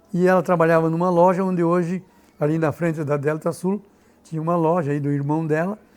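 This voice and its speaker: A man's high-pitched voice at a fairly quick pace. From Rio Grande do Sul, Brazil. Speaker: local historian and author. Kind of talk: biographical interview.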